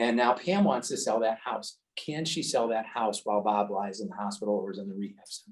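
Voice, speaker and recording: Speaking at a fairly quick pace with hardly any pauses, a man of medium pitch shows ordinary pitch variation and big swings in loudness. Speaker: estate attorney. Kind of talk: educational seminar. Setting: seminar room with audience and Zoom. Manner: fast.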